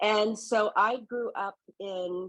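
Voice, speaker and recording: A woman speaks with a Texan accent. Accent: Texan American English. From Southeast Texas, Gulf Coast. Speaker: founder of an environmental consulting firm. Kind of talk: podcast interview.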